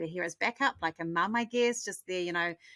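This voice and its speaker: The recording is very clean with a silent background, capturing a woman's bright, sharp tone in a dry, close sound with no echo. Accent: New Zealand. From New Zealand. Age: 50s. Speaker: marketing strategist, agency owner. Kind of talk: interview answers.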